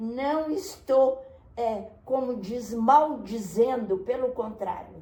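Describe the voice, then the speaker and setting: A woman speaks at a very slow pace. Her fairly high voice has ordinary pitch variation. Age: 80s+. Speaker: retired forensic doctor and pediatrician. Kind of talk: interview answer.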